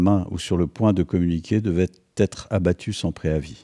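A man with a dark, mellow tone and ordinary pitch variation, in a dry, close sound with no echo. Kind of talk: literary audiobook reading of a tense military thriller, narrated in past tense.

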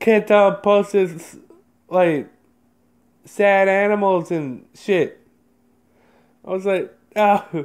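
A high-pitched man speaks very slowly with fairly even intonation and long, frequent pauses. The recording is very clean, the background silent. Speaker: vlogger. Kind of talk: casual vlog chat. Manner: casual, filler-heavy.

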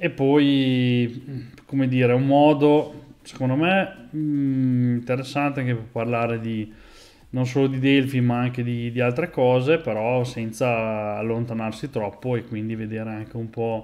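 A man speaking fairly slowly with fairly even intonation. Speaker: programming streamer. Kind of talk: casual live stream chat. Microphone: earbuds.

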